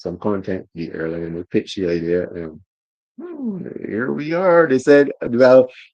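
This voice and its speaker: Lively intonation marks this man's fairly low-pitched voice, delivered at a moderate pace. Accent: Barbadian. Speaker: motorsport journalist. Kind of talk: casual interview chat. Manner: halting, repeats words.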